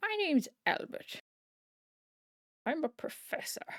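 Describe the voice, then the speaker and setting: In a put-on character voice, a woman speaks at an extremely high pitch with very wide pitch swings and a fairly slow pace, the sound dry and close with no echo. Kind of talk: refined, posh.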